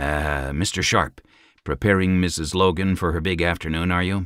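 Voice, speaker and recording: This raspy, put-on character voice moves at a moderate pace with fairly even intonation. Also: man, very deep, low pitch for a man. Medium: read story. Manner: forceful, domineering.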